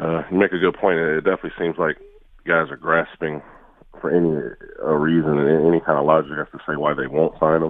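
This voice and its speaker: The man's pitch is very deep and low. He talks very fast with monotone, flat intonation. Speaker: former NFL player. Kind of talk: casual sports interview.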